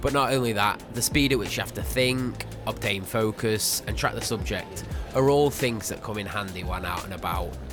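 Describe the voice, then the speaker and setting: Music playing behind a man's voice at a moderate pace. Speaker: street photographer. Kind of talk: casual talk to camera.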